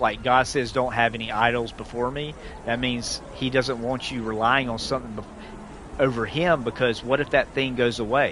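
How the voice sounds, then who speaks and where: A man with a Southern US accent speaks at a moderate pace and medium pitch with fairly even intonation, with noticeable background noise behind him. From US South. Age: 40s. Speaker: gaming streamer, military veteran. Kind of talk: casual live-stream chat. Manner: halting, many false starts.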